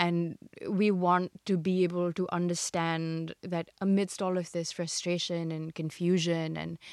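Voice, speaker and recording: Fairly low-pitched female voice. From India. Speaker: entrepreneur. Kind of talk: casual chat.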